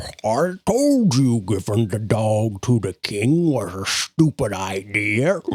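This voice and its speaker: A man in a put-on character voice, at a very slow pace. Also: medium pitch for a man, hardly any pauses. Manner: complaining, grumbling.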